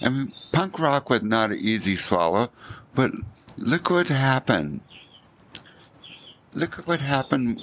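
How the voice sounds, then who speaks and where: A man at a fairly slow pace with very wide pitch swings, over noticeable background noise. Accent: American. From Southern California, Newport Beach. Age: 60s. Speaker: surfboard shaper. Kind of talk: casual interview chat. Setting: at home.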